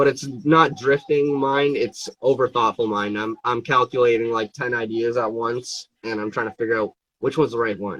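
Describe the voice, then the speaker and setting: Speaking at a moderate pace with hardly any pauses, a man with a medium pitch keeps a fairly even intonation in a dry, close sound with no echo. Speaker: fingerboard brand owner and live streamer. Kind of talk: casual live stream chat. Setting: Instagram live stream. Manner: halting, hesitant with fillers.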